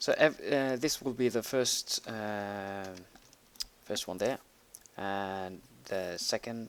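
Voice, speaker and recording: The speaker has a Norwegian accent. Pitch varies in an ordinary way. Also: man. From Norway. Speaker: gaming tutorial creator. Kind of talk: tutorial. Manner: halting, many fillers while typing.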